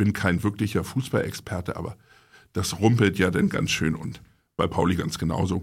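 On a very clean recording with a silent background, a man speaks at a moderate pace in a very deep, low pitch, somewhat breathy. His intonation is fairly even, while his loudness moves in big swings. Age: 40s. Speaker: magazine publisher. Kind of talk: casual chat.

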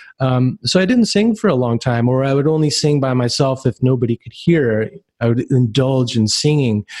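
A man talks in a normal speaking voice at a moderate pace. His pitch is medium, with ordinary variation. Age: 40s. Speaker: podcast host. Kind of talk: interview.

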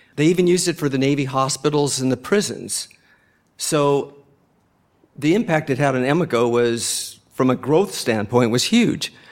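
Using a normal speaking voice, a man talks at a moderate pace with a fairly high pitch. His intonation is lively and his loudness very even. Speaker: furniture company CEO. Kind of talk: lightning-round interview at a live event. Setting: stage with live audience.

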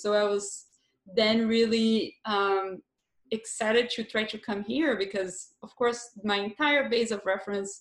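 A woman's fairly high voice in a Brazilian accent, with fairly even intonation. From southern Brazil. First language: Portuguese. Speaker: filmmaker. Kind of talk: interview.

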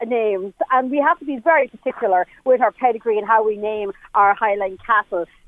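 Speaking fairly quickly in an Irish Midlands accent, a woman uses a fairly high pitch with ordinary pitch variation. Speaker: cattle breeder. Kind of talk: casual chat. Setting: outdoors. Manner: animated.

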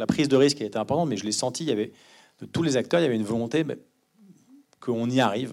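On a very clean recording with a silent background, a man talks very fast at medium pitch, with vocal fry and ordinary pitch variation. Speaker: film producer. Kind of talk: post-screening Q&A. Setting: stage with audience.

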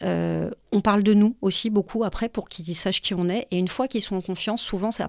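On a very clean recording with a silent background, a woman talks at a fairly quick pace with a medium pitch and fairly even intonation. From Paris, France. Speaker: founder of a children's conference series. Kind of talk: casual interview. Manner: hesitant, many fillers.

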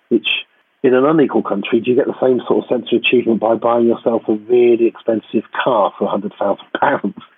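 His loudness very even, a man with a plain, everyday voice speaks at a medium pitch with ordinary pitch variation. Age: 50s. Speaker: academic geographer. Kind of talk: casual interview chat. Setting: video call from home.

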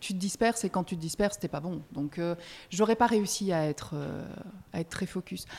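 With a Belgian accent and a dark, mellow tone, the speaker keeps a moderate pace and ordinary pitch variation. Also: woman. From Belgium. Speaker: music press officer. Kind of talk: casual interview. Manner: hesitant, many repetitions and fillers.

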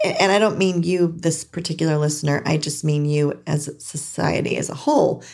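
Barely pausing, a woman speaks in a very deep, low voice with an American accent. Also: fairly quick pace. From California. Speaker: podcast host. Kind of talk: casual monologue. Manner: animated.

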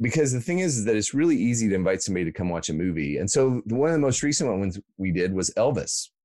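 Recorded with a dry, close sound with no echo against a quiet background, a man talks in an American accent. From US Midwest, Iowa. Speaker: ministry worker and author. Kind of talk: casual interview chat.

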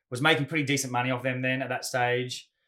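A man with an Australian accent and a bright, sharp tone, on a very clean recording with a silent background. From Australia, Gold Coast. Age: 40s. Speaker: Muay Thai fighter and adventure athlete. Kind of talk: casual interview chat.

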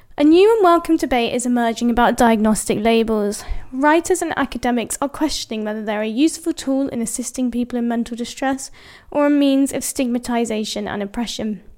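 A woman with a British accent talks at a fairly quick pace, her high pitch showing ordinary variation. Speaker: columnist. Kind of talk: reading aloud.

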